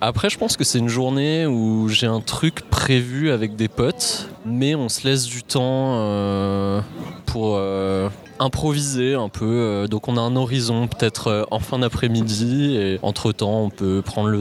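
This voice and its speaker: A medium-pitched man at a very slow pace with noticeable background noise. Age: 20s. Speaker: software engineer. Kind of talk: casual chat.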